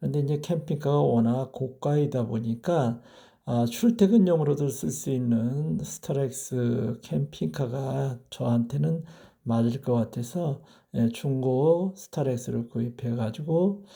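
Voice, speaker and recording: On a very clean recording with a silent background, a man speaks at a very slow pace with a medium pitch. His tone is dark and mellow, somewhat breathy, with lively intonation. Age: 60s. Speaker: retired teacher, vlogger. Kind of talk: personal vlog monologue. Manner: hesitant with many filler sounds; formal.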